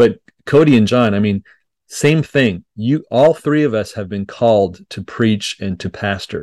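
Recorded dry and close with no echo, a man with a Montreal accent speaks at a fairly slow pace in a medium pitch with ordinary pitch variation. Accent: Canadian English (Montreal anglophone). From Quebec, Montreal (English-speaking family). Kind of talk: podcast interview.

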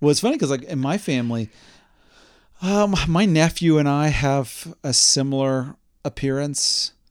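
An ordinary speaking voice, moderate in pace, ordinary in pitch variation. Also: man, fairly high pitch for a man. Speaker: podcast host. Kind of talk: casual chat.

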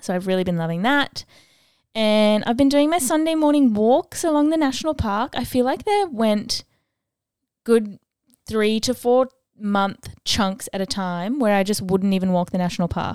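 In a plain, everyday voice, a woman talks at a moderate pace and fairly high pitch with lively intonation. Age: 20s. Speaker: podcast host. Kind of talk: solo monologue. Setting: outdoors sounds, birds audible. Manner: casual, filler-heavy.

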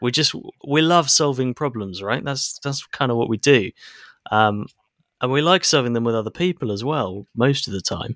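A man with a normal speaking voice talks at a moderate pace and medium pitch, with lively intonation, in a very clean recording with a silent background and a dry, close sound with no echo. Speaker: podcast co-host. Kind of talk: casual chat. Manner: dry, sarcastic.

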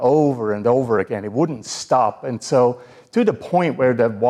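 Lively intonation in a natural reading voice

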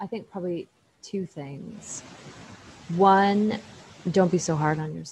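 Somewhat breathy and fairly slow, the speech has long, frequent pauses, big swings in loudness and ordinary pitch variation. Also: woman, medium pitch for a woman. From Canada, Ottawa. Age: 30s. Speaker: innovation manager in the nuclear construction industry. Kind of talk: interview.

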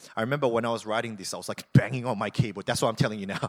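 Very fast and animated, a man speaks. His pitch is medium. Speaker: pastor. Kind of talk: sermon. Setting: church. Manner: loud at times, may yell.

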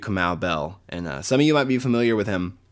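In a very clean recording with a silent background, a man speaks fairly quickly at a fairly low pitch with lively intonation. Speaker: podcast host. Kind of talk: casual interview. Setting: home.

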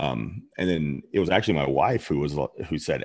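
In an American accent, a man talks with vocal fry. His pace is moderate. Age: 40s. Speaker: chef and restaurant owner. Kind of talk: interview.

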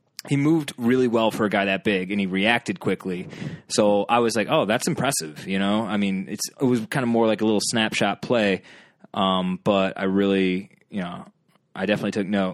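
A man at a fairly quick pace with ordinary pitch variation, on a very clean recording with a silent background. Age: 30s. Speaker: sports fan and local band booker. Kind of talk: casual chat.

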